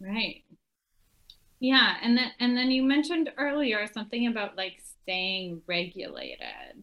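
A woman with a fairly high pitch has a plain, everyday voice. She speaks at a fairly slow pace with lively intonation. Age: 30s. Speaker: podcast host and coach. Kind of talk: casual interview.

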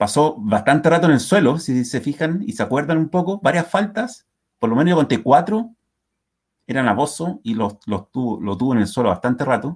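The voice moves at a moderate pace, its pitch swinging very widely. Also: man. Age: 40s. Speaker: football fan podcast co-host. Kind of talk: casual chat. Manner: animated.

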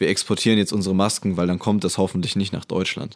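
Recorded very cleanly over a silent background, a man with a plain, everyday voice speaks at a fairly low pitch with fairly even intonation. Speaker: computer science student. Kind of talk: casual chat.

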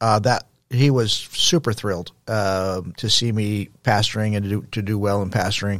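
A man with a normal speaking voice talks at a moderate pace, his pitch fairly low, with ordinary pitch variation. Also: very clean recording, silent background. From Texas, El Paso. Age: 60s. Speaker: former pastor, nonprofit founder. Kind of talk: interview conversation.

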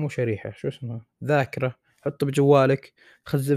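A man speaks at a moderate pace in a dark, mellow tone with fairly even intonation, the sound dry and close with no echo. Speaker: medical student and podcaster. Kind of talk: solo improvised podcast monologue. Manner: casual, rambling.

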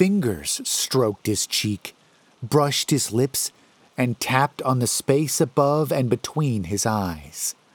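Reading aloud in a natural voice.

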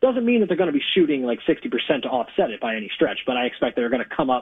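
Talking at a very fast pace, a man with a fairly high voice makes very wide pitch swings. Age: 20s. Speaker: sports betting writer. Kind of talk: casual chat.

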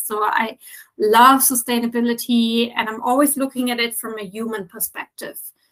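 A woman at a fairly high pitch with a German accent, a fairly slow pace and monotone, flat intonation. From Germany. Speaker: sustainability consultant. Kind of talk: interview.

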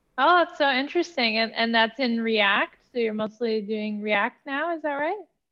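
Using a normal speaking voice, a woman with a fairly high pitch and lively intonation speaks at a moderate pace. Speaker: podcast host. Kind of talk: casual interview.

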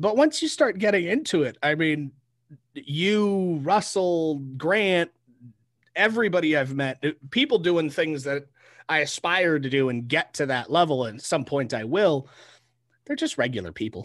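A man with an American accent talks in a plain, everyday voice at a fairly high pitch. His intonation is lively and his pace fairly slow, with a quiet background. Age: 20s. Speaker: podcast host. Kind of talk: casual interview chat.

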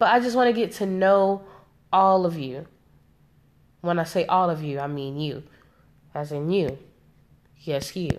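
With an American accent, a woman speaks at a moderate pace and a fairly low pitch, her intonation lively. She leaves long, frequent pauses. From South Carolina, US South. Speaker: podcaster. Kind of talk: casual monologue. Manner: casual with many fillers.

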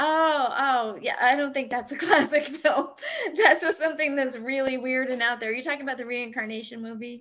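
A woman's high voice with an American accent, at a fairly quick pace, with ordinary pitch variation. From Massachusetts. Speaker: co-host, actress and writer. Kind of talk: casual chat.

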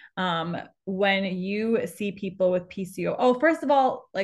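Somewhat breathy, a woman talks at a moderate pace with a medium pitch and ordinary pitch variation against a quiet background. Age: 20s. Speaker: podcast host and pelvic floor physical therapist. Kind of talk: casual interview chat.

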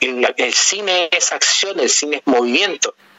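This man's intonation is lively, and he takes his time at a fairly slow pace while noticeable background noise plays. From Chile. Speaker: film podcast panelist. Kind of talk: casual interview. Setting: phone call.

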